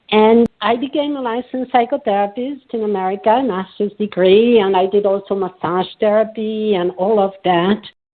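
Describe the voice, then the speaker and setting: A woman talks in a French accent at a moderate pace. Her pitch is medium, with ordinary variation. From France. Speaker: psychotherapist and coach. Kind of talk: podcast interview.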